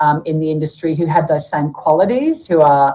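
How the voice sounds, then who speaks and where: In an Australian accent, a woman with a fairly low pitch speaks in a cheerful, animated tone. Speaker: author and bookseller. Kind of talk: casual chat. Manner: cheerful, animated, chatty.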